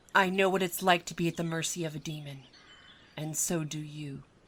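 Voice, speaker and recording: A woman puts on a character voice, pitched fairly low. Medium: role play.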